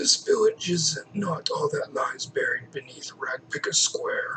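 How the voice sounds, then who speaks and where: A man's raspy, mumbling put-on character voice, extremely high-pitched, at a fairly slow pace. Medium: solo performance. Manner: sly, mumbling, refers to himself by name.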